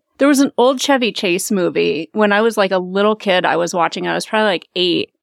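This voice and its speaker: A woman at a medium pitch in a normal speaking voice, fairly quick with lively intonation, dry and close with no echo on a very clean recording with a silent background. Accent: American. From US Midwest, Omaha, Nebraska. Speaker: financial coach. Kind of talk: casual interview.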